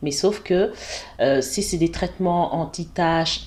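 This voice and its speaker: This woman's voice is fairly low in pitch. Her pitch varies an ordinary amount. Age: 40s. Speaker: cosmetics brand founder. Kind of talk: interview. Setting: office premises.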